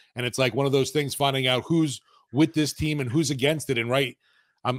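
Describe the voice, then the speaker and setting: With a plain, everyday voice, a man talks at a medium pitch and with fairly even intonation in a very clean recording with a silent background. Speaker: sports podcast co-host. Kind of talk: casual chat.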